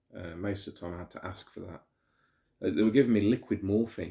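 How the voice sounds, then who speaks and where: Somewhat breathy and fairly low in pitch, a man speaks with an English accent. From England. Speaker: vlogger. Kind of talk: personal storytelling monologue. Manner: halting, many fillers and repetitions.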